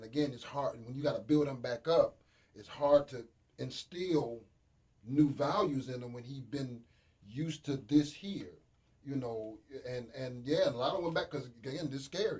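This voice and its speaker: At a moderate pace, a man speaks at a fairly high pitch, somewhat breathy, with ordinary pitch variation and big swings in loudness. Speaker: radio panel guest. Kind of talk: casual radio discussion. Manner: animated.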